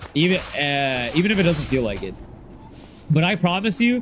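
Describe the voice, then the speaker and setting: A loud man with a high pitch, music in the background. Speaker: gaming streamer. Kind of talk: casual livestream chat.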